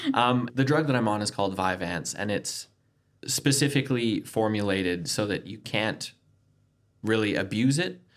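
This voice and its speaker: At a moderate pace, a man with a Canadian accent and an unremarkable speaking voice talks at medium pitch with ordinary pitch variation. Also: very clean recording, silent background. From Canada. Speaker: recovering addict sharing his story. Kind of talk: personal testimony in casual interview.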